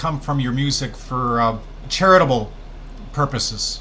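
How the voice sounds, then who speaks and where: There's audible room echo as a man speaks with a bright, sharp tone. His intonation is lively and his pace moderate. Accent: Canadian. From Canada. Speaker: radio host. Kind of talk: interview.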